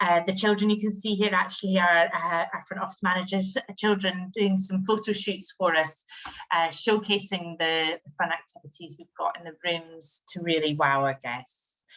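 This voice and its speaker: A woman with a Scottish accent speaks at a moderate pace in a medium pitch with fairly even intonation. Her tone is bright and sharp, with big swings in loudness. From Scottish Highlands. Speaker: HR director. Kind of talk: webinar presentation.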